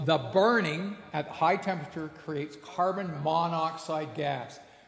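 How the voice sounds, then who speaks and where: Noticeable background noise and audible room echo surround a man's voice. He speaks at a high pitch with ordinary pitch variation. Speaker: blacksmith giving a lecture. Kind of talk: lecture.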